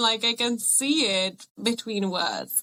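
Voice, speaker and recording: A woman with a Czech accent speaks at a fairly high pitch with lively intonation. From Czech Republic. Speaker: podcast guest. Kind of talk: casual podcast conversation.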